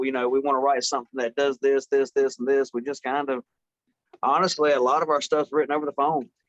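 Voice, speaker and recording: In an American accent, a man with a fairly high voice talks at a very fast pace in a monotone, flat delivery, the sound dry and close with no echo. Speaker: metal band member. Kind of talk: interview answer.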